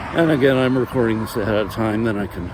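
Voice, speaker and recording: Noticeable background noise behind a man's medium-pitched voice with ordinary pitch variation. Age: 50s. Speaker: vlogger. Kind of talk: personal monologue. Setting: outdoors. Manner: halting.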